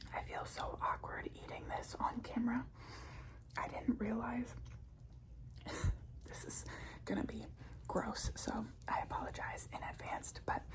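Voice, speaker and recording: A woman whispers at a fairly slow pace, leaving long, frequent pauses. Noticeable background noise can be heard. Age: 20s. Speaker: ASMR creator. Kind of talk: ASMR whispered ramble. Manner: whispered, soft-spoken.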